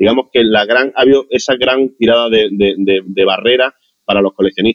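This is a man speaking at a medium pitch. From Andalusia, Motril. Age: 40s. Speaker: digital artist. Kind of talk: interview.

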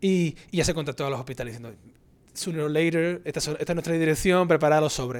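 A man with a fairly high pitch speaks at a very fast pace. His pitch varies in an ordinary way. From Spain, Andalusia (Cádiz). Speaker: microbiologist professor. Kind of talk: casual interview.

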